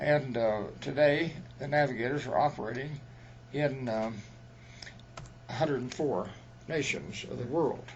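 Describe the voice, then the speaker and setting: A man at a moderate pace with ordinary pitch variation and audible room echo. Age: 90s. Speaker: retired missionary. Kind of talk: interview.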